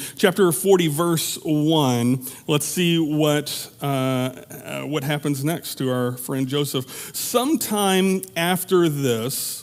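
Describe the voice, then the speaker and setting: Over noticeable background noise, a man with a fairly high pitch speaks at a very slow pace with hardly any pauses and ordinary pitch variation. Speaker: pastor. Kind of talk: sermon.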